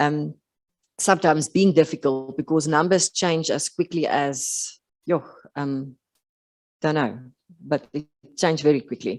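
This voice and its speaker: South African accent at a fairly slow pace, long and frequent pauses, ordinary pitch variation, dry, close sound with no echo, quiet background. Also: woman, very deep, low pitch for a woman. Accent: Afrikaans South African English. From South Africa, rural Western Cape. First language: Afrikaans. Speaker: occupational therapist. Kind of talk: conference talk. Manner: halting, many fillers.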